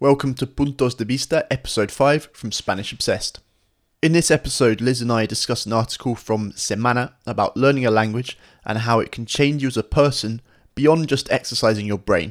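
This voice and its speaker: At a moderate pace, a man talks at a medium pitch. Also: ordinary pitch variation. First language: English (speaking Spanish). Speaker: podcast host, language teacher. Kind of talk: casual chat; scripted intro.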